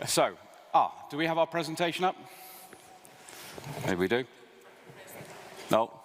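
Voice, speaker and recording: Over noticeable background noise, a man with a British accent speaks at a moderate pace in a fairly high pitch, with lively intonation and long, frequent pauses. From Britain. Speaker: think tank speaker. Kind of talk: conference presentation.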